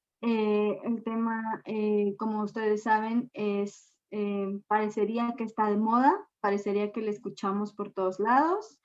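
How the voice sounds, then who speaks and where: Her pitch fairly high and her intonation monotone and flat, a woman speaks at a fairly slow pace with hardly any pauses. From Mexico. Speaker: gender and energy expert. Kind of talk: lecture.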